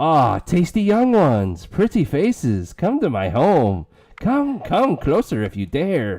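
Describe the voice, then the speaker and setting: A man's put-on character voice, fairly high in pitch and fairly slow, on a very clean recording with a silent background. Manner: luring, sinister.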